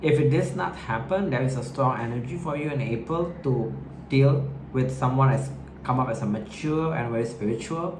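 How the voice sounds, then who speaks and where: Noticeable background noise and audible room echo behind a moderate pace and ordinary pitch variation. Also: man, medium pitch for a man. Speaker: tarot reader. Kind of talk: tarot reading to camera. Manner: hesitant, halting; filler-heavy, informal.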